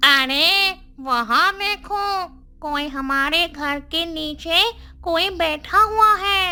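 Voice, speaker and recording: A cartoonish character voice, female-sounding, at an extremely high pitch and a very slow pace. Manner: eager, sly.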